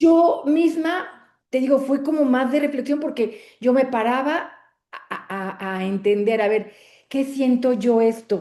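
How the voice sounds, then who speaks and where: A woman talks at a fairly slow pace with lively intonation, her high-pitched voice having a dark, mellow tone. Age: 60s. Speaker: book club member. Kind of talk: casual chat. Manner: halting.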